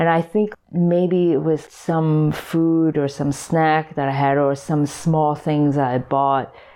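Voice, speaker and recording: A woman speaks at a fairly slow pace with a fairly low pitch. It is an ordinary speaking voice. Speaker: sculptor and artist. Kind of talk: casual interview chat.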